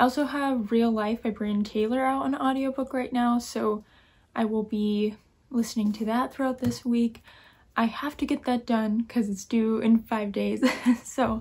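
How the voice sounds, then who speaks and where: The intonation stays fairly even. A woman delivers it at a moderate pace. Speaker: book vlogger. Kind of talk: casual vlog chat. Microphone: phone near.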